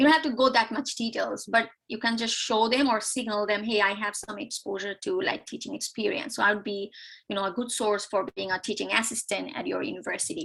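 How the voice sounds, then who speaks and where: A woman talks at a fairly quick pace with hardly any pauses. Her voice is fairly high, with ordinary pitch variation. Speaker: economics PhD graduate and university instructor. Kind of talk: tutorial. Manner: fast.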